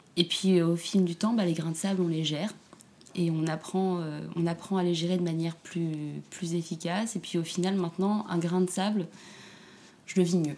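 Speaking at a moderate pace, a woman has a dark, mellow tone and a monotone, flat intonation. She leaves long, frequent pauses. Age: 30s. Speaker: single mother. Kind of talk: interview testimony. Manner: halting, many repetitions.

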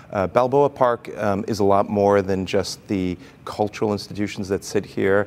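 A plain, everyday voice from a man, fairly low in pitch, moving at a moderate pace with fairly even intonation. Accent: American. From mixed: Brazil, Chile, Austria, United States. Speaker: museum executive. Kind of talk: interview.

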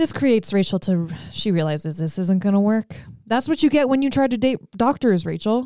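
On a very clean recording with a silent background, a woman talks at a fairly quick pace in a fairly high pitch, her dark, mellow tone moving through very wide pitch swings. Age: 30s. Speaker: podcast co-host. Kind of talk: casual chat.

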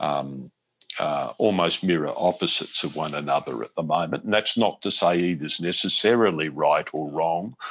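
With an Australian accent, a man speaks in a very deep, low pitch with vocal fry. His pace is moderate and his pitch varies in an ordinary way. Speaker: foreign correspondent. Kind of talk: interview. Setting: remote call. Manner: halting.

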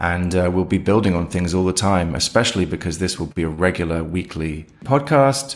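A man with a very deep, low pitch speaks at a fairly quick pace with hardly any pauses. His intonation is lively. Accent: British. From Britain. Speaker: head of audio, co-host. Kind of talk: casual podcast discussion. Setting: remote recording.

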